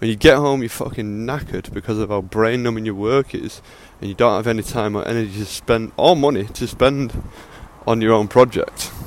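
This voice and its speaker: A man with an English accent, fairly quick, his intonation fairly even. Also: medium pitch for a man. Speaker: podcaster. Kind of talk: casual monologue. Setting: outdoors on a walk, recorded on earphone mic. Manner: casual, unscripted.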